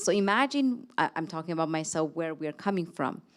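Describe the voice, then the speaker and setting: In a very clean recording with a silent background, a woman with a non-native accent speaks at a moderate pace, her fairly low pitch carrying lively intonation. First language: not English. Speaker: panelist, academic leader. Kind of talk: panel discussion. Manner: halting.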